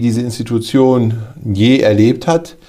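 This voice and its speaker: A dark, mellow tone at a very slow pace, with fairly even intonation. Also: man. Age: 50s. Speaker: care home director. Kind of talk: interview.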